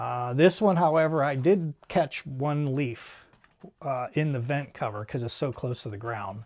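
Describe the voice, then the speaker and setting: A somewhat breathy male voice. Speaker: DIY home improvement youtuber. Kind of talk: tutorial. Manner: hesitant, filler words.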